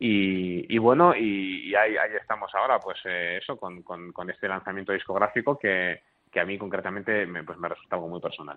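A man at a fairly low pitch, with ordinary pitch variation, a fairly quick pace and hardly any pauses. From Spain, Bilbao. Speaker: cellist and early music ensemble director. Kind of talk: radio interview. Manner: halting, with frequent repetitions.

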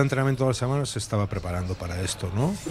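A man at a very fast pace, with lively intonation. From western Catalonia. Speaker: basketball coach. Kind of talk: radio talk show interview. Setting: live broadcast from a bar.

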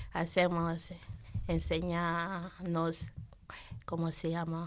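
A woman speaks with a non-native accent. Her pitch sits fairly low. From Nigeria. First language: not Spanish (speaking Spanish). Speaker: program participant, mother. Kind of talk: radio interview. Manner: halting.

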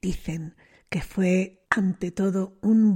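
A woman's somewhat breathy voice with a dark, mellow tone, in a very clean recording with a silent background. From Spain, Bilbao. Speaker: radio host. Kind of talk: radio music programme presenting.

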